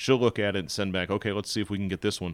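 In a very clean recording with a silent background, a man speaks at a fairly low pitch with ordinary pitch variation. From northern US. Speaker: former city council candidate. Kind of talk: casual chat. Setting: studio.

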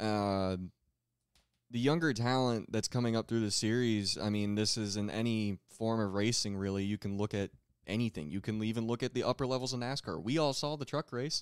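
Recorded very cleanly with a silent background and a dry, close sound with no echo, a man with a normal speaking voice at a medium pitch talks at a fairly quick pace with ordinary pitch variation. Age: 20s. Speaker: dwarf car racing driver. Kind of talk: casual chat.

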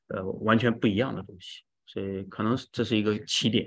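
An unremarkable speaking voice from a man, fairly low in pitch, at a moderate pace over a quiet background. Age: 40s. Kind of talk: testimony.

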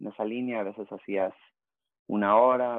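A man speaks in a plain, everyday voice. His pace is moderate and his intonation fairly even. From Baja California border region (Rosarito, Tijuana) and San Diego. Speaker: youth soccer coach and former pro player. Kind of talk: casual interview. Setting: home office.

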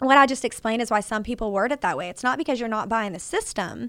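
With a Texas accent, a woman speaks at a fairly high pitch in a bright, sharp tone, her pitch varying in an ordinary way. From Texas, Fort Worth. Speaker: roofing and solar company owner. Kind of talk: casual chat.

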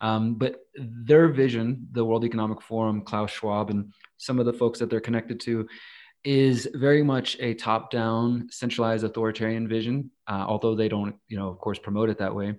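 A man with a plain, everyday voice and an American accent speaks at a medium pitch and a moderate pace, with fairly even intonation, against a quiet background. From Texas, Houston. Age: 30s. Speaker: activist and journalist. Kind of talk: podcast interview.

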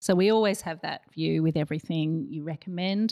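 Fairly low in pitch, a woman with an Australian accent talks at a fairly quick pace in a dark, mellow tone, her pitch varying in an ordinary way. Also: very clean recording, silent background. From Australia, partly raised in Malaysia and US. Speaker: marketing agency director. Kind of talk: casual chat.

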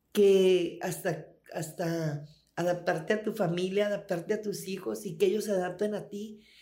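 A woman's dark, mellow, medium-pitched voice at a fairly slow pace, with ordinary pitch variation and audible room echo. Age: 60s. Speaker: former prisoner. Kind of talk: interview testimony.

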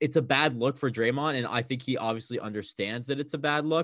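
Speaking at a fairly quick pace with an American accent, a man has an unremarkable speaking voice at medium pitch with ordinary pitch variation. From US West Coast, Bay Area (Oakland). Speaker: college student, sports fan. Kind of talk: casual chat.

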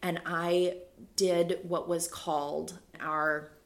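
A woman's fairly low voice with vocal fry. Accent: American. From US Midwest (Minnesota and Ohio). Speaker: Episcopal priest. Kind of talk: casual interview chat.

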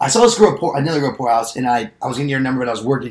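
Noticeable background noise sits behind a man talking at medium pitch. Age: 20s. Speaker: podcast host. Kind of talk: casual chat. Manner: animated.

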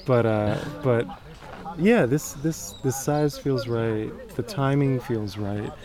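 A man with a medium pitch and ordinary pitch variation speaks at a very slow pace over noticeable background noise. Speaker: podcast host and writer. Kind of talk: casual interview. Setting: outdoors.

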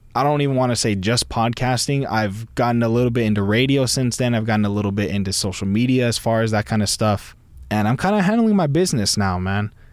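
Someone with a Californian accent talks at a very fast pace, with ordinary pitch variation and very even loudness. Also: man, medium pitch for a man. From US West Coast. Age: 20s. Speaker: podcast host. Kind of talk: casual monologue. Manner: laid-back.

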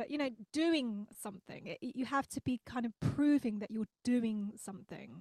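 A woman talks at a moderate pace with hardly any pauses, her pitch fairly high. The sound is dry and close with no echo, and her pitch variation is ordinary. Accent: London. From London, England. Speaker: independent singer-songwriter. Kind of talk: casual interview chat. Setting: in person.

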